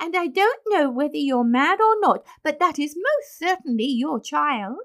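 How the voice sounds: A woman performs a put-on character voice with a high pitch. She speaks at a fairly slow pace with lively intonation. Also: fairly bright tone.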